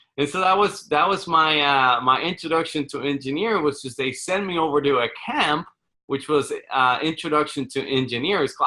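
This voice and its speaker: A man with a Spanish accent speaks at a moderate pace in a bright, sharp tone, his pitch fairly high with ordinary variation. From Puerto Rico. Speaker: real estate fund manager. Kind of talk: podcast interview. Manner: halting, many repetitions.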